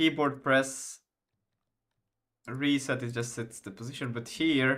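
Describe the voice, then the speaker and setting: On a very clean recording with a silent background, a man with a Finland Swedish accent talks at a medium pitch, fairly slowly and with fairly even intonation. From Finland (Swedish-speaking). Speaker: game developer streamer. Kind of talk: live coding stream. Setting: live stream. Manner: halting, many fillers.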